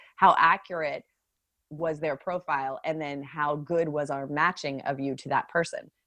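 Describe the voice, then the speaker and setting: In an American accent, a woman with a very deep, low pitch and a bright, sharp tone speaks at a moderate pace. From US, San Francisco Bay Area. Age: 50s. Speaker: dating app CEO. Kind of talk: podcast interview. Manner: animated.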